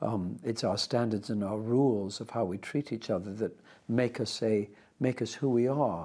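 A man's fairly low voice, dark and mellow in tone, in a very clean recording with a silent background. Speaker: actor. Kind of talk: interview answer.

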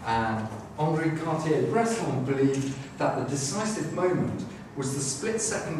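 A man with a fairly high pitch talks at a moderate pace with lively intonation. Clear background noise and audible room echo fill the recording.

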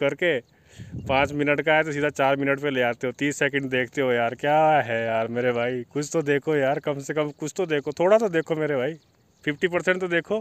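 The recording is dry, with no echo. A man speaks at a moderate pace with ordinary pitch variation. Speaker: village vlogger. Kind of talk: casual vlog chat. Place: open country. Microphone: phone near.

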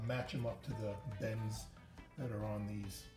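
Clear music can be heard behind the voice. The speaker is a man. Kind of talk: tutorial. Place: garage.

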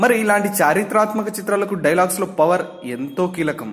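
A man speaks in a high pitch. Noticeable background noise runs underneath. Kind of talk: entertainment news narration.

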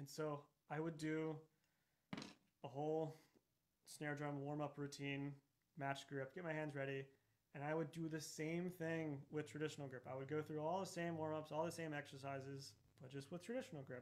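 With an American accent, a man speaks at a fairly high pitch and a moderate pace. His intonation is fairly even, broken by long, frequent pauses. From Texas. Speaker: orchestral percussionist; percussion teacher. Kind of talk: masterclass lecture. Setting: video call webinar. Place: studio.

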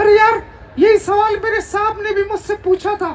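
Using a cartoonish character voice, a man speaks at a moderate pace in an extremely high pitch with monotone, flat intonation. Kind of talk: ventriloquist comic act. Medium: puppet show. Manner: cheeky, wisecracking.

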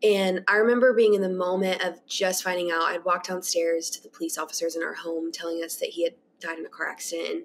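Light background noise sits under a woman at medium pitch who speaks very fast with hardly any pauses and fairly even intonation. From Kentucky. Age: 20s. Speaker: podcast guest. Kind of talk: testimony. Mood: earnest, reflective about grief. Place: home room. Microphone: webcam.

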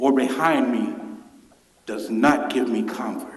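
A man with a Memphis accent is heard with audible room echo and noticeable background noise. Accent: Southern US (Memphis). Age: 60s. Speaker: public commenter. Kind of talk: public comment at council meeting. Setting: council chamber.

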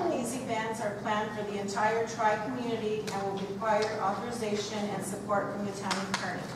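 A woman speaks at a moderate pace. There is audible room echo and loud background noise. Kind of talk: formal report reading. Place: meeting room. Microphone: camera far.

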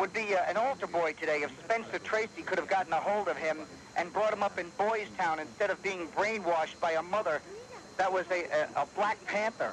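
A man with an American accent speaks fairly quickly in a high pitch, with ordinary pitch variation and very even loudness. The sound is dry with no echo, over light background noise. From New York. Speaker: talk radio caller; radio caller. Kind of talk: call-in to talk radio. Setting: phone line. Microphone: phone line.

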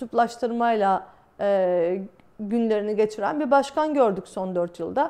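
A woman speaks in a fairly high pitch with a dark, mellow tone. The background is quiet. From Turkey. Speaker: exiled journalist, video blogger; journalist. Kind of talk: solo talk to camera, commentary; commentary. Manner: many hesitation fillers. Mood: calm, serious. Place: home room.

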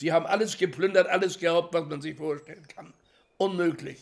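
A man's fairly even intonation stands out in a quiet background. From Hamburg, Germany. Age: 80s+. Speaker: Holocaust survivor, contemporary witness; witness. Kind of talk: interview answer. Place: home room.

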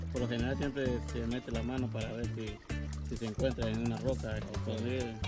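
Over loud music in the background, a man talks at a fairly quick pace in a dry sound with no echo. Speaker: local villager. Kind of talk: interview answer. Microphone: phone near.

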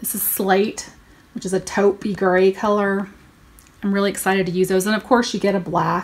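Speaking at a moderate pace, a woman has a medium pitch. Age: 40s. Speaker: beauty YouTuber. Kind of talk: product haul review. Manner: animated. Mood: upbeat, enthusiastic. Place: home room. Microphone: phone near.

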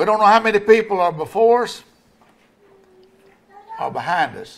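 Here a man speaks in a high pitch. His pitch variation is ordinary. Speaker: pastor. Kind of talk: sermon. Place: church. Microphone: podium.

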